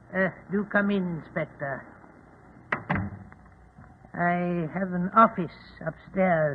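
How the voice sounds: A put-on character voice at a slow pace, with ordinary pitch variation and a slightly husky edge. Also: man, high pitch for a man.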